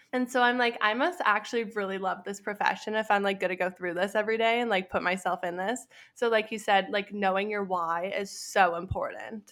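Speaking with a Western Canadian accent, a woman has a medium pitch and fairly even intonation at a fairly quick pace. The recording is very clean, with a silent background. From Canada, Alberta. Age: 20s. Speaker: entrepreneur and graduate student. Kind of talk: casual interview chat.

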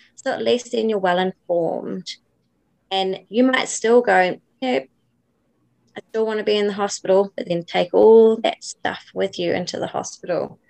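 A woman with a New Zealand accent speaks at a medium pitch and a moderate pace, with ordinary pitch variation. The sound is dry and close, with no echo. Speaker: doula and birth educator. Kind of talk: interview.

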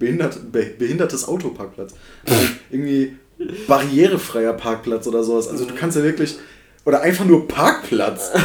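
Here a man talks with lively intonation at a fairly quick pace. His pitch is fairly high. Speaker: podcast host. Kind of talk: casual banter podcast. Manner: animated, jokey, rambling.

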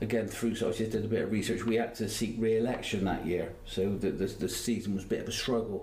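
A man speaks very fast in a flat monotone at a medium pitch, with hardly any pauses and audible room echo. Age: 60s. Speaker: retired footballer. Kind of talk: casual interview. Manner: halting.

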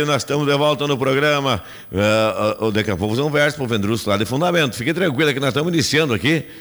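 Talking at a very fast pace, a man uses a fairly high pitch with ordinary pitch variation and very even loudness. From Rio Grande do Sul, Brazil. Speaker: radio host. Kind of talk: live radio talk show. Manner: animated.

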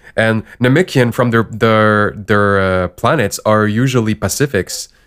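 A man with a non-native accent speaks in a very clean recording with a silent background. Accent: foreign-accented English. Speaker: podcast co-host. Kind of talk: casual chat.

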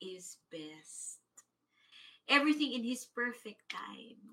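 A woman with a bright, sharp tone speaks at a very slow pace, her intonation lively. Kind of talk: fervent prayer, congregational prayer led aloud. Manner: fervent, rhythmic, repeated 'we say yes' declarations building in intensity.

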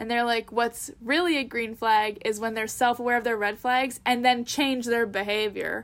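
A woman with a Canadian accent speaks in a normal speaking voice, fairly high in pitch, at a moderate pace with hardly any pauses. Her intonation stays fairly even, and the recording is very clean with a silent background. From Canada. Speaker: podcast co-host. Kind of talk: casual chat.

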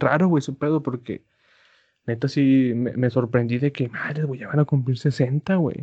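Somewhat breathy, a man speaks at a medium pitch and a fairly slow pace with fairly even intonation. The sound is dry and close, with no echo. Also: quiet background. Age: 20s. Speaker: podcast co-host. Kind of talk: casual chat.

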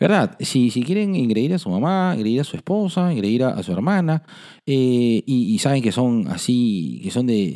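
A man talks at a medium pitch with very wide pitch swings. His tone is dark and mellow, and his pace moderate. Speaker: podcast host, psychologist. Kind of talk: casual chat.

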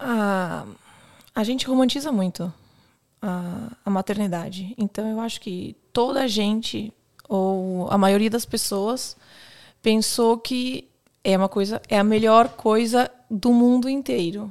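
Against a silent background in a very clean recording, a woman with a Brazilian accent and a fairly high pitch speaks at a very slow pace with ordinary pitch variation. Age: 30s. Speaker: police officer. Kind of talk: casual chat.

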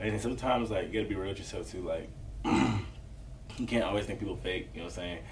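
A man with an American accent speaks at a very fast pace, with audible room echo and noticeable background noise. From US South, Atlanta Southside. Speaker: rapper. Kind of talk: casual interview.

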